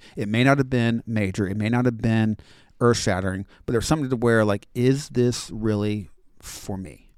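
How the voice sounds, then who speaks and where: At a moderate pace, a man with an American accent talks at a medium pitch in a normal speaking voice. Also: ordinary pitch variation. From Florida, US. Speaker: high school Bible teacher. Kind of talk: casual interview conversation.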